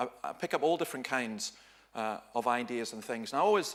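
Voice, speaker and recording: A man with a Dundee accent and lively intonation amid noticeable background noise. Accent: Scottish (Dundee). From Scotland, Dundee. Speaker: pastor. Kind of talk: seminar talk. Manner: animated.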